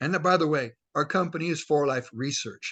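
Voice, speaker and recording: A man talks at a moderate pace. His pitch variation is ordinary, and the background is quiet. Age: 60s. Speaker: network marketing leader. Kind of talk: motivational talk. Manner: animated.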